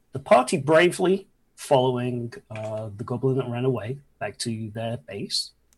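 Pitch varies in an ordinary way, and the voice is somewhat breathy. The pace is moderate. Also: man. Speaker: dungeon master of a tabletop game stream. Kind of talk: tabletop role-play narration and casual chat. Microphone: new mic, sounds crisp.

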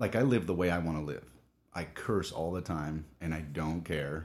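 Using an American accent, a man with a very deep, low pitch speaks at a moderate pace with ordinary pitch variation and long, frequent pauses. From Southern California. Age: 30s. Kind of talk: casual interview chat.

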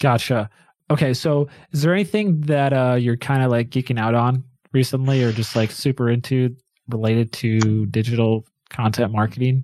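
In an ordinary speaking voice, a man talks at a moderate pace with very even loudness and ordinary pitch variation, recorded very cleanly over a silent background. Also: medium pitch for a man. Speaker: podcast host. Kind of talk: casual interview. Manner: upbeat, conversational.

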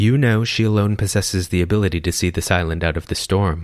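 A man speaks very fast in a put-on character voice with a very deep, low pitch. He stays soft-spoken throughout. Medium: read story. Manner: polite, serene.

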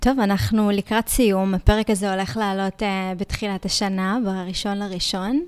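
A woman talks in a plain, everyday voice at a medium pitch, keeping a moderate pace, fairly even intonation and hardly any pauses. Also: very clean recording, silent background. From Israel, Ashkelon. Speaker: podcast host. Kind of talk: interview.

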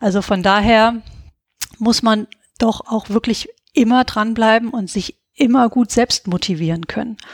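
Fairly slow and fairly high, a woman speaks with ordinary pitch variation in an unremarkable speaking voice. The sound is dry and close, with no echo. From Hesse, Germany (Gießen). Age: 40s. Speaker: veterinarian and founder of an online training platform. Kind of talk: interview.

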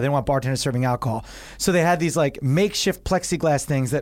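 Here is a man with an American accent. He talks at a very fast pace. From New Jersey shore. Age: 30s. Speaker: actor and comedian. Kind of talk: casual chat.

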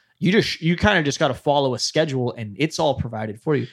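A man with an American accent speaks at a medium pitch in an animated tone, his intonation lively, on a very clean recording with a silent background. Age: 20s. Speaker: podcast host. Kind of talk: casual chat.

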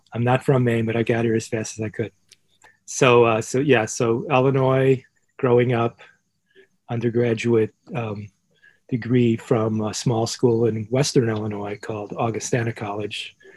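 A man with an American accent speaks at medium pitch and a moderate pace. His intonation is monotone and flat. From Chicago, US Midwest. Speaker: professor. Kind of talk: interview.

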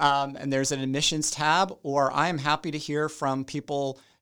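Speech unfolds at a moderate pace. The background is silent, and the recording is very clean. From South Carolina, US South. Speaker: university chief academic officer. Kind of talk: informative interview answers.

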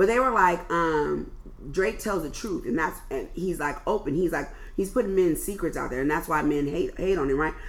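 Woman with an American accent at a moderate pace, noticeable background noise. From US West Coast, Oakland. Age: 40s. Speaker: podcast host. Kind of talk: casual chat.

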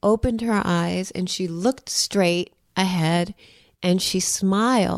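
On a very clean recording with a silent background, a woman with an American accent uses a normal speaking voice at medium pitch, moving at a fairly slow pace with ordinary pitch variation. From New York. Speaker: artist. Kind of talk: interview. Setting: her home.

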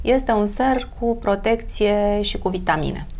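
In a room with audible echo, the speech moves at a fairly slow pace. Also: woman. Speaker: beauty expert. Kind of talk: casual interview.

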